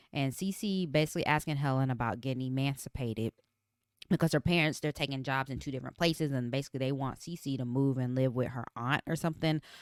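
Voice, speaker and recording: A woman talks at a very fast pace in a very deep, low pitch. Her pitch varies in an ordinary way, and the sound is dry and close with no echo. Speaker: podcast co-host. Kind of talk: TV recap chat. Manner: casual, conversational.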